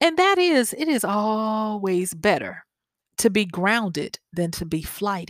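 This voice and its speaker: In a Southern US accent, a woman speaks at a very slow pace and medium pitch, with a dry, close sound with no echo in a very clean recording with a silent background. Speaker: podcast host and life coach. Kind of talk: solo podcast monologue.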